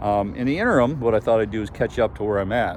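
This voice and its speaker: A man with a fairly low pitch talks against noticeable background noise. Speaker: sailing vlogger and boat owner. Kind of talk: casual video walkthrough. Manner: hesitant, many fillers.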